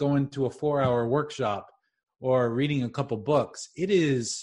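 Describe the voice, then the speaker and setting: His voice sounds somewhat breathy. A man is the one talking. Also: quiet background. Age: 40s. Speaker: leadership coach and trainer. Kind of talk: interview.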